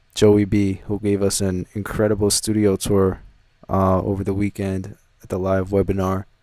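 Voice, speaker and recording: On a very clean recording with a silent background, a man's dark, mellow tone comes through. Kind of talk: flat, uninterested. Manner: flat, disinterested.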